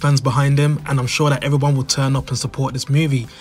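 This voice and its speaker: A man with a British accent speaks at a fairly high pitch over noticeable background noise. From United Kingdom. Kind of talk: commentary to camera.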